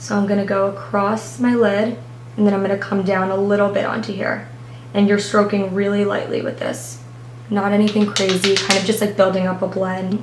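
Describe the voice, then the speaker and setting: Lively intonation comes at a fairly quick pace over noticeable background noise. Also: woman, medium pitch for a woman. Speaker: beauty blogger. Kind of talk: makeup tutorial talk to camera. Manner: subdued, low-energy.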